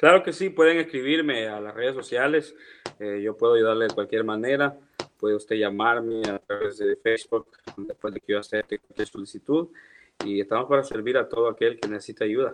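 Recorded dry and close with no echo, a man speaks at a fairly quick pace with a medium pitch and ordinary pitch variation. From El Salvador. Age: 30s. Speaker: church audio and video specialist. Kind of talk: casual interview.

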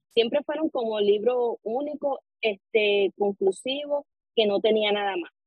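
A woman speaks at a fairly slow pace with an ordinary speaking voice. Her pitch is fairly high, with ordinary pitch variation. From Puerto Rico, Arecibo. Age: 20s. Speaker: novelist. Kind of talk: interview.

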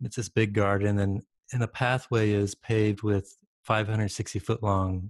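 A man's somewhat breathy, fairly low voice with an American accent, at a moderate pace, dry and close with no echo, over a quiet background. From Michigan, rural area west of Detroit. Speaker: campus pastor and missionary. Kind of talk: interview conversation.

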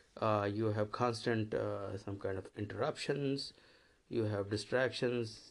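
A man at a fairly low pitch with fairly even intonation, on a very clean recording with a silent background. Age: 50s. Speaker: systems engineer. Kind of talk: interview answers. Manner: halting.

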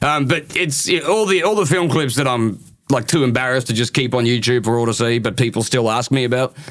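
With a strong Australian accent, a man speaks at a very fast pace and medium pitch. His loudness stays very even, with ordinary pitch variation. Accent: broad Australian.

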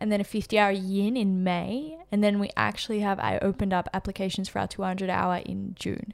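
Recorded very cleanly against a silent background, a woman uses a normal speaking voice at medium pitch with fairly even intonation. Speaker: yoga teacher and podcast co-host. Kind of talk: casual podcast conversation.

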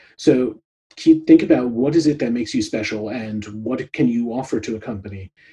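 A man with a dark, mellow tone sounds somewhat breathy, showing ordinary pitch variation and big swings in loudness. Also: medium pitch for a man, fairly quick pace. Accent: American. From New York, US. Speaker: product consultant and podcast host. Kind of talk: interview conversation. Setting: video call.

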